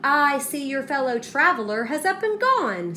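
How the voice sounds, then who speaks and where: Over clear background noise, a woman speaks in a put-on character voice with a high pitch at a moderate pace. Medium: read story. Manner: hot-tempered.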